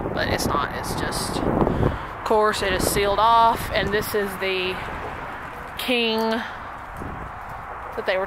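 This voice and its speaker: Through noticeable background noise, a woman speaks at a very slow pace and medium pitch, her intonation fairly even. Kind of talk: vlog walkthrough. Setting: outdoors. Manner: casual.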